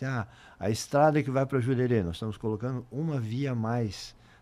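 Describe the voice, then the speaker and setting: A man with a dark, mellow tone speaks at medium pitch with ordinary pitch variation, in a very clean recording with a silent background. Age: 60s. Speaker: mayor. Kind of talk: interview.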